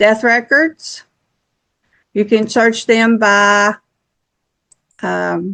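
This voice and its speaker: Very slowly, a woman speaks with a fairly high pitch and a bright, sharp tone. Her intonation stays fairly even, broken by long, frequent pauses. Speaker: genealogy YouTuber. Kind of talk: screen-share tutorial. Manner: casual, halting.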